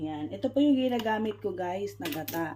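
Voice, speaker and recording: Pitch rises and falls across a very wide range. The speech keeps a moderate pace. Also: woman. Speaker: cooking vlogger. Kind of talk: cooking tutorial. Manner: casual, chatty.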